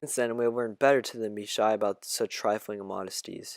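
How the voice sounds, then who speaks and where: In a very clean recording with a silent background, a man talks in a calm tone at medium pitch and a fairly quick pace, the sound dry and close with no echo. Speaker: audiobook reader. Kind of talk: reading aloud.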